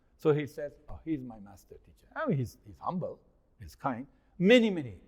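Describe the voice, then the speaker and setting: A man with a fairly high pitch sounds animated and somewhat breathy, his voice making very wide pitch swings and big swings in loudness. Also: fairly quick pace. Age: 60s. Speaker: investment consultant and speaker on China. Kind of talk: interview.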